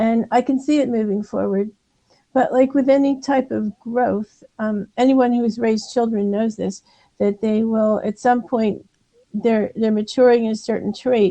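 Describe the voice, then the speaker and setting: This woman's voice is fairly high in pitch, dark and mellow in tone, with fairly even intonation. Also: moderate pace. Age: 60s. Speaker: optometrist and author. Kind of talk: interview conversation. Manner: halting.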